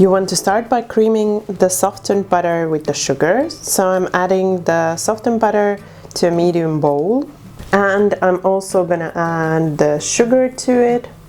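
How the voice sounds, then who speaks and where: Noticeable background noise surrounds a woman speaking at a moderate pace. Her medium pitch moves with lively intonation. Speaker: cooking video host. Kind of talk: cooking tutorial. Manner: casual, with frequent fillers.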